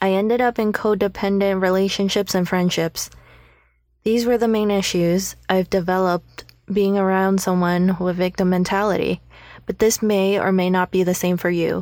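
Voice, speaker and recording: The voice is delivered in a monotone with flat intonation and very even loudness. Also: woman, medium pitch for a woman, moderate pace, very clean recording, silent background. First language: not English. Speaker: podcast host. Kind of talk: personal monologue.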